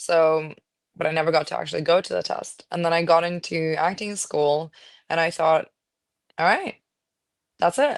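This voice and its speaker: A woman with a non-native accent speaks at a moderate pace in a fairly low pitch. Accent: own accent, non-native. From Norway. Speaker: actress. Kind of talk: interview. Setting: podcast.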